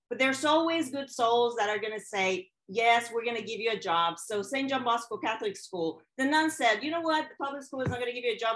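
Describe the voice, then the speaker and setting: A woman in a Mexican accent speaks fairly quickly at fairly high pitch with ordinary pitch variation, against a quiet background. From Mexico. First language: Spanish. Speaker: educator and keynote speaker. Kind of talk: keynote talk.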